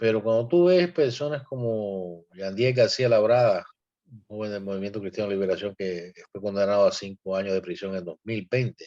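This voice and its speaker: A man speaks at a moderate pace with a dark, mellow tone, fairly low pitch and ordinary pitch variation. His loudness swings a lot against a quiet background. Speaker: activist. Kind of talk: panel discussion. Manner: animated.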